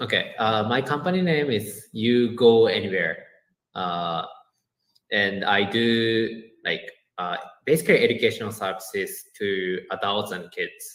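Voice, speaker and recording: Here a man speaks with a Japanese accent at a medium pitch. His intonation is lively and his pace fairly slow. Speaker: education business owner, former teacher. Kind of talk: podcast interview. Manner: halting, many fillers.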